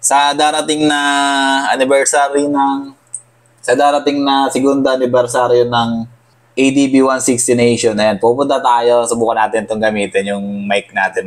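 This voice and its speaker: A man's medium-pitched voice keeps to a moderate pace. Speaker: motorcycle vlogger. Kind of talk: unboxing vlog. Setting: apartment.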